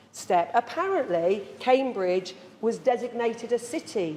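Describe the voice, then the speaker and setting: A woman with a fairly high pitch speaks in very wide pitch swings. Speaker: live performer, storyteller, tour guide. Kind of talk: live theatrical monologue with audience.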